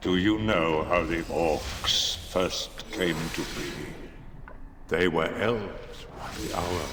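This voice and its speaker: A man puts on a character voice, very deep and low, with a menacing tone. He speaks at a very slow pace over clear background noise. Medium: video game. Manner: cold, menacing.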